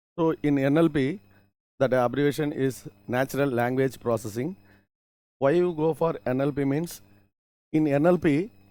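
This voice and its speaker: A man with a Tamil accent speaks at a fairly high pitch, leaving long, frequent pauses. The recording is very clean, with a silent background. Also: ordinary pitch variation, moderate pace. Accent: Tamil-accented Indian English. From Tamil Nadu, India. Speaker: college lecturer. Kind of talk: lecture. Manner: halting, with repetitions and self-corrections.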